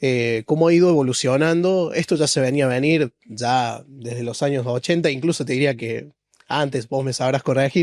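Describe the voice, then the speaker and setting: A man talks at a moderate pace in an ordinary speaking voice, with medium pitch and ordinary pitch variation. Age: 20s. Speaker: podcast host. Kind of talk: podcast interview.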